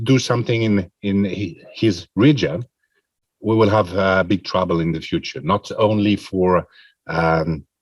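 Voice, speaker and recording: A man at a fairly slow pace, dry and close with no echo, on a very clean recording with a silent background. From Switzerland. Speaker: president of international pharmacy federation. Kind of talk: press conference answer. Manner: halting, many fillers.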